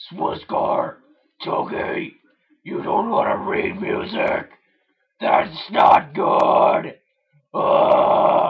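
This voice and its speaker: Doing a cartoonish character voice, a man speaks extremely high and raspy in a deadpan tone, very slowly, with long, frequent pauses. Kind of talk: cartoon voice impression. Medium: solo performance. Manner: slow, deadpan, grumbling.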